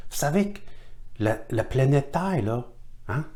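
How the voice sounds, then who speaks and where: With audible room echo, a man's fairly high voice rises and falls in lively intonation. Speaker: teacher of Chinese divination. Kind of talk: online workshop lecture. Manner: halting.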